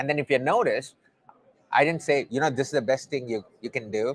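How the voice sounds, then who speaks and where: A man's medium-pitched voice with a slight Indian accent, at a very fast pace. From South India. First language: not English. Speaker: testing coach and conference speaker. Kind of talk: conference interview. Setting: conference venue.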